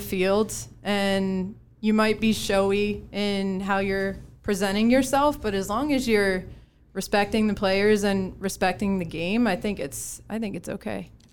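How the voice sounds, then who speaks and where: Speaking at a fairly slow pace with an American accent, a woman uses a normal speaking voice at medium pitch. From Connecticut. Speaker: former college softball player, company employee. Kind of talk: casual panel chat. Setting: studio.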